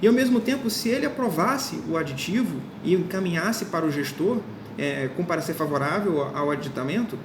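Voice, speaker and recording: Someone talks at a fairly quick pace while noticeable background noise runs underneath. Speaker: law course teacher. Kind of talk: lecture. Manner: fast; informal.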